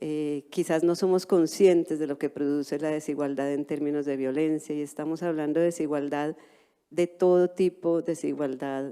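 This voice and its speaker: At a moderate pace, a woman speaks with a very deep, low pitch, a dark, mellow tone and monotone, flat intonation. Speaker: anthropologist, cultural heritage expert. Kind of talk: panel presentation. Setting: conference stage with interpretation.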